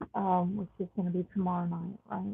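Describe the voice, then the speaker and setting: Her intonation monotone and flat, a woman speaks in a Southern US accent. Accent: southern drawl. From Texas. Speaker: astrologer and tarot reader. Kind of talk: astrology forecast monologue. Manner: slow; casual, frequent um fillers. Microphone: sound quality issues at new location.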